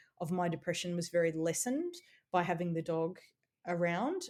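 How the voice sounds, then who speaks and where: Her medium-pitched voice as a woman is heard on a very clean recording with a silent background. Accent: Australian. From Australia. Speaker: playwright and columnist. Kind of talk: interview. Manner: casual, with fillers.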